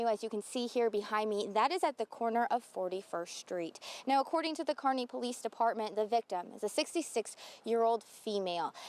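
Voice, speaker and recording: A woman with an unremarkable speaking voice talks at a fairly quick pace, fairly high in pitch, with lively intonation. The sound is dry and close with no echo, over a quiet background. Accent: American. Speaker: television news anchor and reporter. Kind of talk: television news anchor and live reporter delivery. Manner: clear, professional news delivery.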